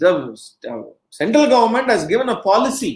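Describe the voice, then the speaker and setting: This voice carries a Marathi accent. The pace is moderate. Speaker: education speaker. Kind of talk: lecture. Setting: webcast.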